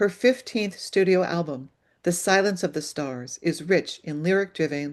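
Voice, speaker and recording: Against a quiet background, a woman with a fairly low pitch speaks at a fairly slow pace. Hers is an unremarkable speaking voice with ordinary pitch variation. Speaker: arts program host. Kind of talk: read introduction.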